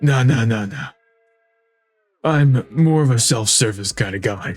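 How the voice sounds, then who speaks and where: A man at medium pitch uses a put-on character voice. Faint music plays in the background. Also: moderate pace. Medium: game stream. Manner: creepy, nervous, giggly.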